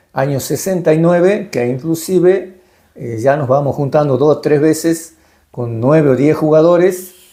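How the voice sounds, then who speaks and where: Speaking at a fairly slow pace, a man with a fairly high pitch and a dark, mellow tone uses ordinary pitch variation. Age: 70s. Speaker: retired baseball and hockey player and coach. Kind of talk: interview. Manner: halting, many fillers.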